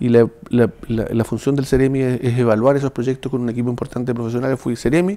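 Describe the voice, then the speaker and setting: Delivered at a very fast pace with hardly any pauses, a man's voice has a dark, mellow tone and fairly even intonation. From southern Chile, Chiloé (Ancud); southern Chile. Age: 60s. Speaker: municipal administrator and former official; interview guest. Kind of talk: political interview. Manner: halting, repeating words. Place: studio.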